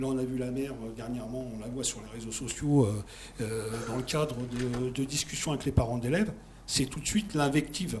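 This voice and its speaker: A man speaks at a fairly quick pace with a medium-pitched voice. Noticeable background noise runs under him. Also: ordinary pitch variation. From France, Villeneuve-Saint-Georges (Paris suburbs). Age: 60s. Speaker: campaign supporter. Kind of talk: political talk show discussion.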